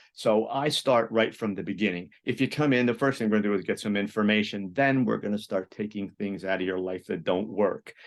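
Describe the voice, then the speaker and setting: Over a quiet background, a man with a fairly low pitch and ordinary pitch variation talks at a fairly quick pace. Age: 60s. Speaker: psychologist and therapist. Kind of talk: interview. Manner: halting, many repetitions.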